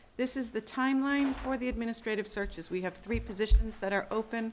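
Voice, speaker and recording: A woman speaks at a fairly quick pace with a fairly high pitch and fairly even intonation. Noticeable background noise sits behind her. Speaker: school superintendent. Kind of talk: committee meeting report. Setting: school library meeting room. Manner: fast.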